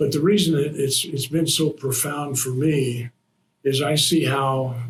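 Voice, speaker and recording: A somewhat breathy man with an American accent, at a fairly slow pace. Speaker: retired army colonel and veteran. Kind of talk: interview. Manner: halting, with many repeats and fillers.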